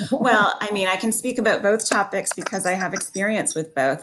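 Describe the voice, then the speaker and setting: A woman speaks with ordinary pitch variation. There is light background noise. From Ontario, Canada. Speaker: historian and author; talk show guest. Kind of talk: interview. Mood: earnest, thoughtful. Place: home room. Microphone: video call.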